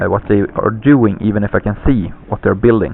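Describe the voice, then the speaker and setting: A man talks with a non-native accent. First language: not English. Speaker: gaming commentator. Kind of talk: game commentary. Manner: halting, many fillers. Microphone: poor lousy microphone.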